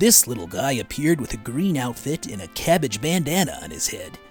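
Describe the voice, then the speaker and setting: Music sounds in the background. The voice carries an American accent. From United States. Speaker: voice actor. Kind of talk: documentary narration.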